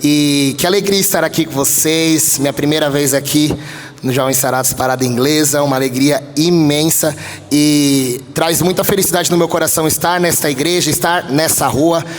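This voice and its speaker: A man's voice at very even loudness, with audible room echo and noticeable background noise. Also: fairly high pitch for a man, moderate pace. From São Paulo, Brazil (east zone). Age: 20s. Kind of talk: sermon. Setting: church. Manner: animated.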